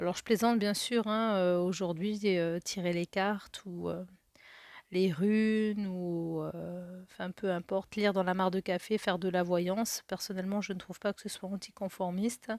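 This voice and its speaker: A woman speaks fairly slowly in a flat, monotone intonation. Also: medium pitch for a woman. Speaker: tarot card reader. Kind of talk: tarot reading for a viewer. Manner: hesitant, many fillers.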